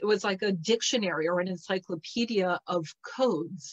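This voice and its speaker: Her delivery is fairly slow, and her pitch moves in an ordinary way. Little else is audible behind the woman. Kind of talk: casual talk to an online audience. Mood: warm, animated. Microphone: video call.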